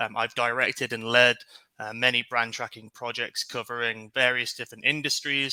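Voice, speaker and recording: A man talks with a British accent at a medium pitch. His tone is bright and sharp. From UK. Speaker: market research director, webinar guest. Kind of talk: webinar Q&A.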